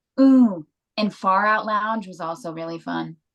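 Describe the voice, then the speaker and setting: Using a plain, everyday voice, a woman speaks at a fairly slow pace with ordinary pitch variation. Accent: American. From Texas. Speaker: rock band musician. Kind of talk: interview.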